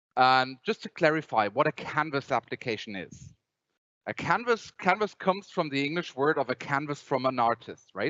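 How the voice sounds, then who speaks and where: A man speaks in a Bavarian accent at a moderate pace. His pitch is fairly high and his intonation lively. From Germany, Bavaria. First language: German. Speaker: software company presenter. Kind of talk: conference presentation. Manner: halting, many repetitions.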